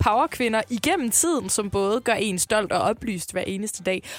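A woman speaks at a fairly slow pace with hardly any pauses and ordinary pitch variation. The sound is dry and close, with no echo. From Jutland, Denmark. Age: 20s. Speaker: radio host. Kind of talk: casual chat.

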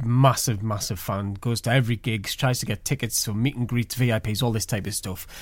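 On a very clean recording with a silent background, a man uses an ordinary speaking voice at medium pitch, moving at a moderate pace with ordinary pitch variation. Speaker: radio host and interviewer. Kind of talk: interview.

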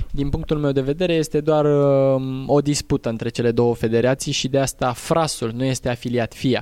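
A man talks in a plain, everyday voice at a fairly high pitch. His pace is moderate, his loudness very even and his intonation fairly even. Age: 20s. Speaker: rally driver and driving instructor. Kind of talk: interview. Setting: outdoors.

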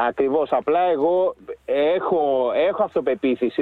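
This man's voice sits high in pitch. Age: 40s. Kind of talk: casual chat.

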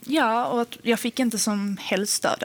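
Noticeable background noise behind a woman's fairly high voice and its ordinary pitch variation. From Sweden, Helsingborg (Skåne). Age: 20s. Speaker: podcast guest. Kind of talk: personal testimony.

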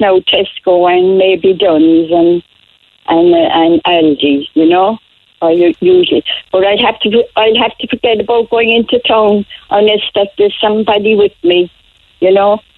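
Delivered at a fairly slow pace in a Cork accent, the voice keeps very even loudness and ordinary pitch variation. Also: woman. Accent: Cork Irish. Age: 80s+. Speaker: elderly caller. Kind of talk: phone-in chat.

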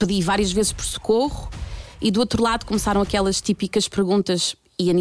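Here a woman speaks at a medium pitch. Her pace is fairly quick and her pitch variation is ordinary. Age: 30s. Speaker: storyteller. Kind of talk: testimony.

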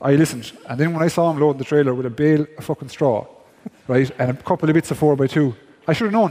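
Someone speaks at a very fast pace in an Irish accent, with ordinary pitch variation. Noticeable background noise is present. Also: man, fairly high pitch for a man. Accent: Irish (Galway). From East Galway, Ireland. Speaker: former hurling goalkeeper, podcast co-host. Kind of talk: live podcast chat, storytelling. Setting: theatre stage with audience.

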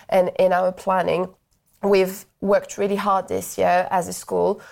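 A woman speaks in a French accent at a moderate pace. The recording is very clean, with a silent background. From France. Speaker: primary school teacher. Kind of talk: interview.

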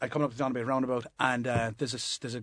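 Against a quiet background, the speaker talks at a very fast pace with a Limerick accent. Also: man. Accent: Limerick Irish. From Limerick, Ireland. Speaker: comedian. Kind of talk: casual panel chat. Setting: studio.

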